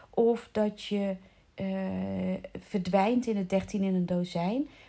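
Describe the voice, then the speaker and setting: A woman talks in a dark, mellow, somewhat breathy tone. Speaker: coach for children's coaches. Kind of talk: solo podcast monologue. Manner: halting; casual.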